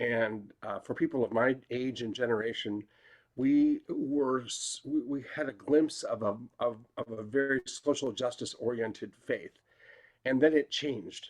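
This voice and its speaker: At a moderate pace, a man talks at a medium pitch. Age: 60s. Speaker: faith leader. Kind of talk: panel discussion. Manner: halting.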